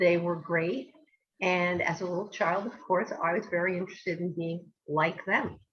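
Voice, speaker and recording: At a moderate pace and with fairly even intonation, the speaker talks with a New Jersey accent. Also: woman, fairly low pitch for a woman. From US Northeast, New Jersey. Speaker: language educator. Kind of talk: interview. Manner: hesitant, many fillers.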